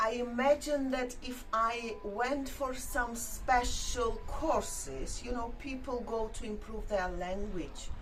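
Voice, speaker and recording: A woman with a non-native accent and a high pitch speaks at a very slow pace with hardly any pauses and ordinary pitch variation, amid audible room echo and music in the background. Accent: foreign accent in English. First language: not English. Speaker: YouTube vlogger. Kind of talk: casual chat. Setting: outdoors. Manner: halting.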